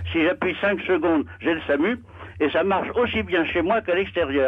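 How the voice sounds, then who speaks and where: A man talks at a fairly quick pace in a high voice, his intonation lively. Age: 80s+. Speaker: caller. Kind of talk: phone-in testimony. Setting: phone call. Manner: hesitant.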